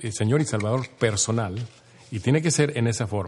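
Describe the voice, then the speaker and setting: With a fairly low pitch and ordinary pitch variation, a man speaks somewhat breathily at a moderate pace. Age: 60s. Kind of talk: casual interview. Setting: clubhouse, shared single mic.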